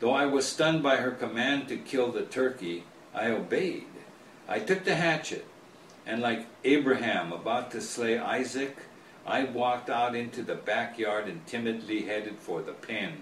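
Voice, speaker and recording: A man speaks with an American accent and ordinary pitch variation. Noticeable background noise can be heard. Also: medium pitch for a man, moderate pace. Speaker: author. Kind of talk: author reading his own book, storytelling.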